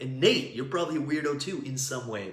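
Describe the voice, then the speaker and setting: In a room with audible echo and noticeable background noise, a man with a medium-pitched voice talks at a fairly quick pace in an animated tone with ordinary pitch variation. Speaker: business coach. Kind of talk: live stream teaching. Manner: loud.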